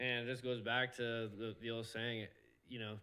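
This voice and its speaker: The man talks at a moderate pace in a medium-pitched voice. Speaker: professional off-road motorcycle racer. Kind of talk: casual podcast interview. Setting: live podcast. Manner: loud; animated.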